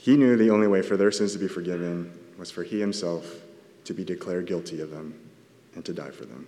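In a Californian accent, a man with a very deep, low pitch and ordinary pitch variation talks at a very fast pace, broken by long, frequent pauses, with audible room echo. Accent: Californian American. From Southern California. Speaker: church elder giving a sermon. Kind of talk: sermon. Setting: church.

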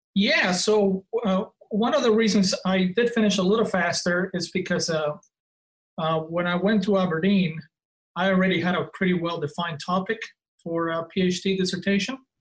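Speaking with a non-native accent, a man holds a fairly even intonation at a high pitch. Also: moderate pace. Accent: noticeable foreign. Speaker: professor of divinity. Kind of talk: casual interview conversation. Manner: halting, many fillers.

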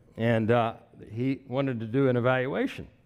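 Here a man speaks at a medium pitch. He talks at a moderate pace in a Texan accent. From Texas (Wichita Falls). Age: 60s. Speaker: pastor. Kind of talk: sermon. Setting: church.

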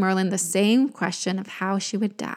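A woman speaks in a warm, animated tone. The recording is very clean, with a silent background. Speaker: podcast host and storyteller. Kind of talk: mythic storytelling narration, retelling Merlin's tale in a spellbinding tone. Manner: animated, dramatic storyteller pacing; warm, intimate, reflective.

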